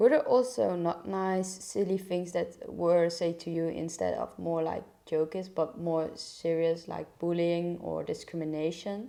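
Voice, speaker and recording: A woman's fairly low, dark and mellow voice, fairly slow with hardly any pauses and ordinary pitch variation. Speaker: model and podcast host. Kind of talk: podcast interview questions.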